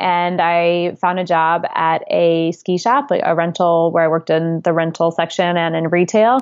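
A woman with an American accent speaks in a plain, everyday voice, fairly low in pitch with fairly even intonation. Her pace is moderate, her loudness very even, and there are hardly any pauses. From upstate New York. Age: 30s. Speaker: author and former seasonal worker. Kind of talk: interview.

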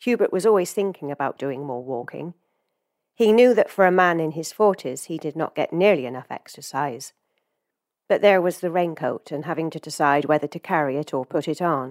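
On a very clean recording with a silent background and a dry, close sound with no echo, a woman with a very deep, low pitch speaks with lively intonation in an English accent. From England. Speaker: fiction writer. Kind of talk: reading aloud. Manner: hesitant, many fillers.

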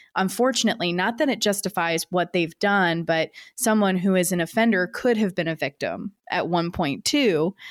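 A woman, in a plain, everyday voice, talks at a moderate pace with a medium pitch and ordinary pitch variation. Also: dry, close sound with no echo, very clean recording, silent background. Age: 30s. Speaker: podcast host, news producer. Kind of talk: interview.

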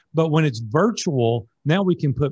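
A man with a Tennessee accent, somewhat breathy with a dark, mellow tone, ordinary pitch variation, quiet background. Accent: Southern US (Tennessee). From Nashville, Tennessee. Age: 60s. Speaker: business coach. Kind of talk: interview.

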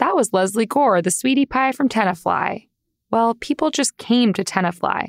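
At a moderate pace, a woman talks in an ordinary speaking voice with a fairly high pitch and lively intonation, on a very clean recording with a silent background. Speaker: podcast host. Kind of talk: scripted narration. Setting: studio.

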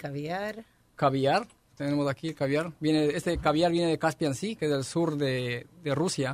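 With an unremarkable speaking voice, a man talks at a fairly high pitch and a fairly slow pace, with ordinary pitch variation. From Ecuador. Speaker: restaurant chef. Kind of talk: interview explaining dishes.

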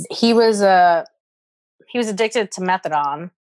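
Against a quiet background, a woman talks with ordinary pitch variation in a dry, close sound with no echo. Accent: New York. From US Northeast, the Bronx, New York. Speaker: stand-up comedian. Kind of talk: casual chat.

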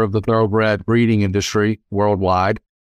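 The voice has an American accent and a monotone, flat intonation. It sounds dry and close with no echo, over a quiet background. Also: man. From US South (South Louisiana). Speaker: lawyer. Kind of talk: interview.

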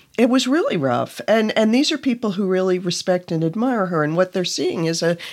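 A woman talks at a fairly quick pace with lively intonation and a medium pitch. It is an ordinary speaking voice. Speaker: journalist and staff writer.

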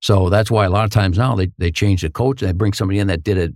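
With an American accent, this man talks in a very deep, low voice. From northern Minnesota, Hibbing. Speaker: hockey commentator, former pro hockey player. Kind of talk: interview, casual storytelling.

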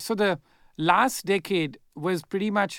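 Recorded very cleanly against a silent background, a man talks with ordinary pitch variation in a dry, close sound with no echo. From India. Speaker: investor and author. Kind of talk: interview.

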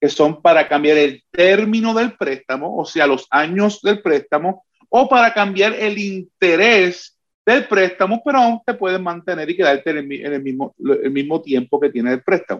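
A man talks in a high voice for a man, at a fairly slow pace. His intonation is lively. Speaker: mortgage loan officer. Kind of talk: sponsored interview.

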